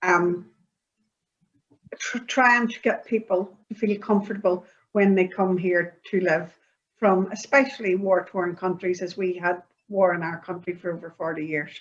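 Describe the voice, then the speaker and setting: Talking in a Northern Irish accent, a woman uses medium pitch, fairly even intonation and a fairly slow pace. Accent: Northern Irish (Belfast). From Northern Ireland, Belfast. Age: 60s. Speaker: interviewee, community project participant. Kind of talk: interview. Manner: halting, many fillers.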